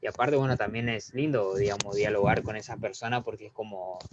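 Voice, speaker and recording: A man speaks at a fairly quick pace in a normal speaking voice, his pitch medium with ordinary variation. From Argentina. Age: 20s. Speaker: math YouTube teacher. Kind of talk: interview.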